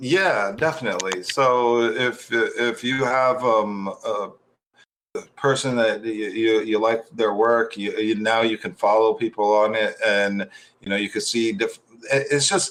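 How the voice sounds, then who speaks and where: Someone with an American accent speaks at a fairly slow pace with ordinary pitch variation. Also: man, medium pitch for a man. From United States. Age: 40s. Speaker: meme creator. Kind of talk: interview. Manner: halting, many fillers.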